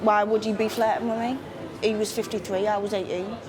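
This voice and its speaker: Against noticeable background noise, a woman with a northeast English accent speaks at a moderate pace with a fairly high pitch. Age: 30s. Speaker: documentary subject. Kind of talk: interview.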